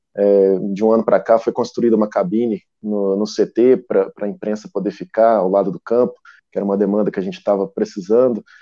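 A man with an unremarkable speaking voice talks at a fairly quick pace. His pitch is fairly low, with ordinary variation. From Brazil, southern Minas Gerais (Poços de Caldas). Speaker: football club press officer. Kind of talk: casual chat.

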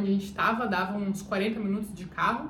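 There is audible room echo around the speaker. A woman talks at a fairly quick pace. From Brazil, Curitiba. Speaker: travel vlogger. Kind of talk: casual storytelling vlog.

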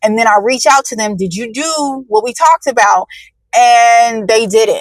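A woman speaks in a plain, everyday voice at a moderate pace. Her pitch is fairly high, with ordinary pitch variation. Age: 30s. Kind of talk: casual monologue livestream. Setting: in a car in traffic.

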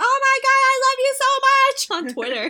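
In a put-on character voice, a woman sounds excited and squeaky at an extremely high pitch, talking at a moderate pace. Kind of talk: high-pitched, bubbly, online-fan tone. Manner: excited, gushing.

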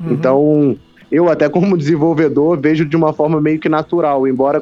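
A man with a fairly high pitch talks in a normal speaking voice at a fairly quick pace. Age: 20s. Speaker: gamer livestreamer and computer science student. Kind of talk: casual interview chat.

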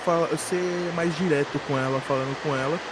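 A man at a fairly slow pace with ordinary pitch variation, amid noticeable background noise. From São Paulo, Brazil. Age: 20s. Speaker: podcast host. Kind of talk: casual storytelling monologue.

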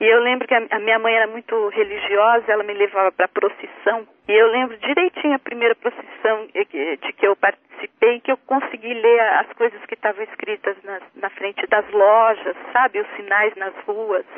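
A woman in a normal speaking voice at a moderate pace, with hardly any pauses and ordinary pitch variation. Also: fairly high pitch for a woman. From interior of São Paulo state, Brazil. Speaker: writer and translator. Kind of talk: radio interview.

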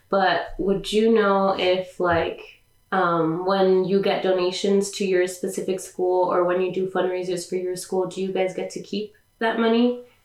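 A woman talks at a medium pitch with a Californian accent. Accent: Californian American English. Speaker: podcast host. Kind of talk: casual interview chat.

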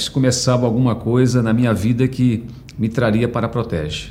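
With a São Paulo accent, a man speaks at a moderate pace and medium pitch, using ordinary pitch variation amid audible room echo. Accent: Brazilian Portuguese, Paulistano. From Brazil, São Paulo. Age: 50s. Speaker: HR director. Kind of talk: personal life story interview. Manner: halting, with many fillers.

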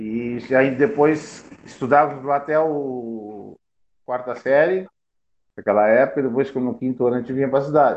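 The speaker is a man. He talks at a moderate pace. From Rio Grande do Sul, Brazil (Piratini). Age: 50s. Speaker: former amateur football player. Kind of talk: interview, life story.

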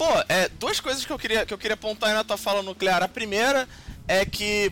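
A man's voice with a bright, sharp tone. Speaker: podcast host and game designer. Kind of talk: casual chat.

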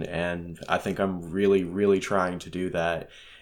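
At a moderate pace, a man speaks in a normal speaking voice with fairly low pitch, over a very clean recording with a silent background. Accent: American. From Kansas, US. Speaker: slam poet and hip hop artist. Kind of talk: casual interview.

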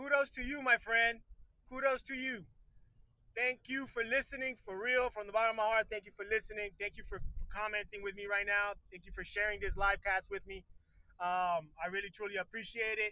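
A man speaks at a fairly quick pace in a raised, projected voice, high in pitch. His tone is bright and sharp, and his intonation stays fairly even. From Puerto Rico. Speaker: podcast host. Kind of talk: casual live-stream chat. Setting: in a car. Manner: casual, hesitant with many fillers.

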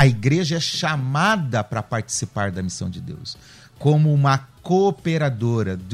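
Over music in the background, a man speaks at a fairly slow pace with very wide pitch swings. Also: medium pitch for a man. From Curitiba, southern Brazil. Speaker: pastor. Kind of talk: radio panel debate. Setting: radio studio.

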